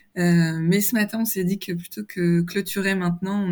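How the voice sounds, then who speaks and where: On a very clean recording with a silent background, a woman speaks at a moderate pace in a fairly low, somewhat breathy voice with monotone, flat intonation. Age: 30s. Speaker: communications manager, dietary program client. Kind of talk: interview testimony. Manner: hesitant, many fillers.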